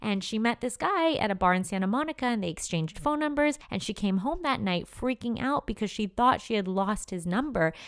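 A woman's animated, fairly quick voice with very wide pitch swings. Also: fairly high pitch for a woman, hardly any pauses. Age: 30s. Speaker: lifestyle blogger and podcaster. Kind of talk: solo podcast monologue. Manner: animated, laughing often.

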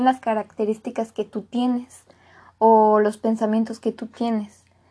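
The speech moves at a fairly slow pace. Behind it, the background is quiet. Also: woman. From Mexico. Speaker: podcaster. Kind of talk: motivational monologue. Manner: casual.

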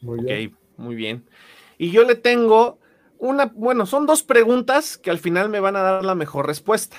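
A man's high-pitched voice swings very widely in pitch and shows big swings in loudness. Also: moderate pace. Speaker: podcast host. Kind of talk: interview.

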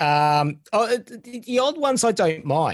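Very wide pitch swings mark this man's speech with an Australian accent. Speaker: former game hotline counselor and collector. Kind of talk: interview.

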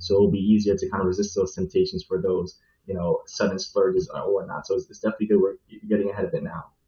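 Speaking at a very fast pace with an American accent, a man shows big swings in loudness. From New York. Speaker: financial analyst. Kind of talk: panel discussion.

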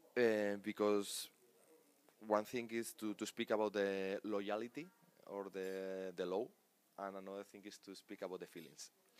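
With a Spanish accent, a man speaks in a fairly low voice with monotone, flat intonation. His pace is fairly slow, with long, frequent pauses. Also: big swings in loudness. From Spain, Pamplona (Navarra). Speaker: national team sports director and coach. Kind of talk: interview. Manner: halting.

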